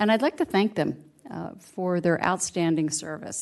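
The woman has an unremarkable speaking voice, medium in pitch, moving at a fairly slow pace with ordinary pitch variation. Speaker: city councilmember. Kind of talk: council meeting report. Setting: council chambers.

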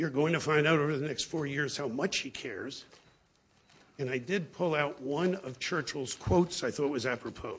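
A man's somewhat breathy, fairly high voice in an American accent, with ordinary pitch variation and a moderate pace. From South Florida (Broward County). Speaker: husband administering the oath. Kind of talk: ceremony speech. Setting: podium microphone at a commission meeting.

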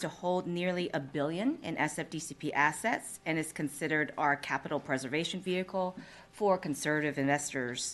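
A woman with a plain, everyday voice speaks at a moderate pace, her intonation lively. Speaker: deferred compensation plan manager. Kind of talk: presentation. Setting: public board meeting.

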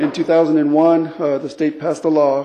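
The voice has a dark, mellow tone. The pace is moderate. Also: man. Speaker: water quality supervisor. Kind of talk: formal presentation.

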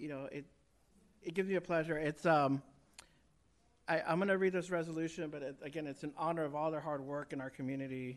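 Speaking at a fairly quick pace, a man keeps his fairly high voice in a fairly even intonation. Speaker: city councilmember. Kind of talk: formal council remarks and reading a proclamation.

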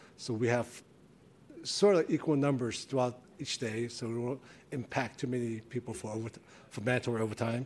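At a fairly quick pace broken by long, frequent pauses, a man speaks at a medium pitch with fairly even intonation. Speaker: fire captain, personnel. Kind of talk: formal report to a commission.

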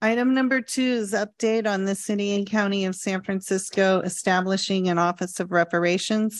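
Using an unremarkable speaking voice, a woman talks at a fairly quick pace with fairly even intonation and hardly any pauses. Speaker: committee secretary. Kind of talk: meeting announcements. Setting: city hall meeting room. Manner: formal.

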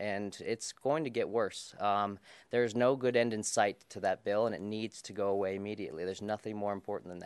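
A normal speaking voice with an American accent, a fairly quick pace, fairly even intonation and big swings in loudness. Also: man, fairly low pitch for a man. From Colorado. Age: 20s. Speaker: political candidate. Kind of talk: candidate debate. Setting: stage with audience.

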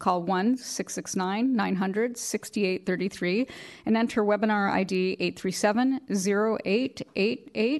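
A woman at a medium pitch, a plain, everyday voice, speaks at a moderate pace with ordinary pitch variation. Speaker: executive director running a public board meeting. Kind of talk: formal meeting procedure. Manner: formal.

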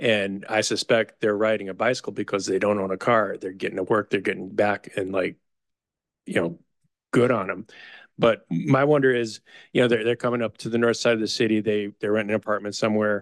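A man with an American accent and an unremarkable speaking voice, fairly low in pitch, at a fairly quick pace with fairly even intonation, dry and close with no echo over a quiet background. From Chicago. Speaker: planning commissioner. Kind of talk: public meeting discussion.

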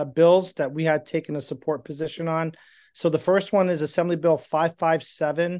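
This man speaks in an ordinary speaking voice, fairly high in pitch for a man, at a fairly slow pace against a quiet background. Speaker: state legislative advocate. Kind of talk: formal report. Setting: video call.

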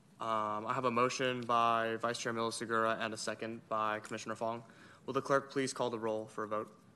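A man's medium-pitched voice, bright and sharp in tone, flat and monotone, at a fairly quick pace. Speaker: youth commission chair. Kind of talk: meeting chairing. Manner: casual, uses filler words.

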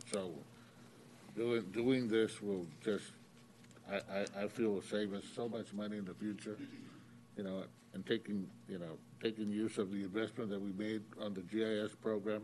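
A man with an American accent and fairly low pitch talks at a moderate pace in fairly even intonation, leaving long, frequent pauses. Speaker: utility board member. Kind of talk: public meeting discussion.

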